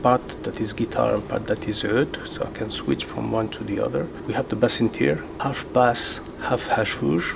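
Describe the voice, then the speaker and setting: A man speaks with a Moroccan accent at a fairly low pitch and moderate pace, his intonation lively. Noticeable background noise can be heard. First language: Moroccan Arabic. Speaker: rock guitarist. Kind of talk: documentary interview.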